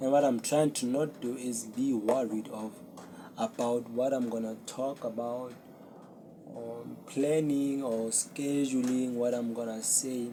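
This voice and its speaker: Speaking at a fairly slow pace, a man talks in a monotone, flat intonation. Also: medium pitch for a man. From South Africa. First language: Zulu. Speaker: podcast host. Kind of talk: casual solo talk to camera. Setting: talking to a camera. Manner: unscripted, hesitant.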